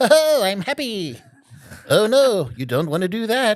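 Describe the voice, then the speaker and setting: In a cartoonish character voice, a man speaks with a high pitch and a cheerful tone at a moderate pace. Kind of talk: cartoon-style character acting. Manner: super optimistic, cheerful.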